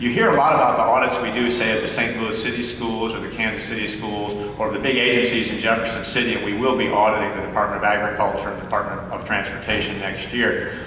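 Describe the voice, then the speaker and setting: With audible room echo and light background noise, a man talks at a very fast pace in a monotone, flat way. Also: hardly any pauses. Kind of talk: speech. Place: hall. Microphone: podium.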